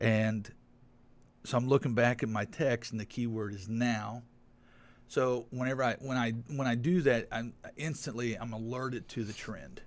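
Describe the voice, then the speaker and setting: In a very clean recording with a silent background, a man with a plain, everyday voice speaks at medium pitch, moderate pace, and with fairly even intonation. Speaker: guest. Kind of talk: casual chat.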